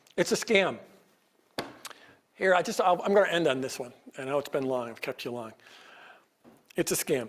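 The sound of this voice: A man's hoarse, raspy put-on character voice, fairly high in pitch, with lively intonation, a fairly quick pace and long, frequent pauses.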